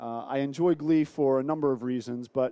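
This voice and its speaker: A man with an American accent speaks at a moderate pace in a fairly high pitch, his tone dark and mellow and his intonation fairly even. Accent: American accent, noticeable. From United States. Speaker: sales director presenting a trade seminar. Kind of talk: business presentation.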